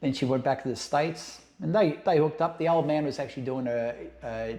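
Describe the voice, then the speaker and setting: With an Australian accent, a man talks at a very fast pace in a fairly high pitch, with ordinary pitch variation and a dark, mellow tone. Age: 60s. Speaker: ex-cult member telling life story. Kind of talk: podcast interview.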